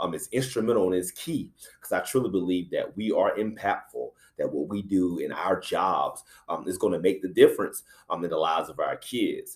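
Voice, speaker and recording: The speaker has a South Carolina accent. The pace is moderate. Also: man. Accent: country accent, South Carolina. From US South, South Carolina (Anderson). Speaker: middle school principal. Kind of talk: talk to educators. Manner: many filler words (uh, um).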